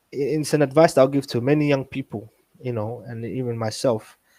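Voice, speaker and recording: A man with a non-native accent, medium pitch and a dark, mellow tone, moderate pace and fairly even intonation, dry, close sound with no echo, very clean recording with a silent background. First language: not English. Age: 20s. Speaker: community youth worker. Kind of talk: interview conversation.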